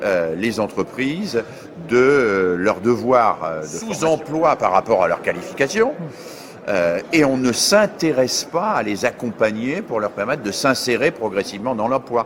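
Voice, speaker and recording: A man speaks at a fairly slow pace with a medium pitch and very wide pitch swings, over noticeable background noise. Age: 60s. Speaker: education scholar. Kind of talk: interview.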